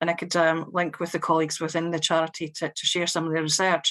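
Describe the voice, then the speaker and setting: With a strong Scottish accent, a woman talks at a very fast pace in a fairly low voice against a quiet background. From Scotland. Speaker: local government social care director. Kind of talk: panel testimony. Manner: hesitant, many fillers.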